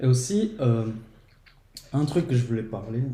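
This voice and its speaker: A somewhat breathy man's voice with a dark, mellow tone and a Portuguese accent, set in audible room echo. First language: Portuguese (speaking French). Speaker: podcast guest. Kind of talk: casual chat.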